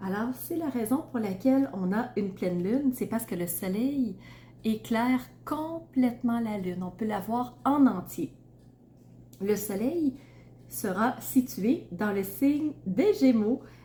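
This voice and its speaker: Very slowly and with vocal fry, a woman with a Quebec accent speaks at a fairly high pitch, her dark, mellow tone shaped by lively intonation. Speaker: tarot reader and astrologer. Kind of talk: astrology reading to camera. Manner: casual, with frequent fillers.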